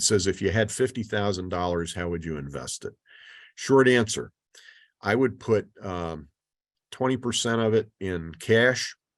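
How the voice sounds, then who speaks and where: At a fairly slow pace, a man with a fairly low pitch uses a normal speaking voice with lively intonation. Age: 60s. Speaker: financial speaker. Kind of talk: webinar lecture with Q&A. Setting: video call. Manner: casual, with fillers.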